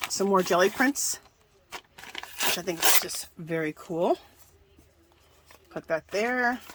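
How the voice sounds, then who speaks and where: Over noticeable background noise, a woman speaks very slowly at a medium pitch, with lively intonation and long, frequent pauses. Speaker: craft video creator. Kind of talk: tutorial.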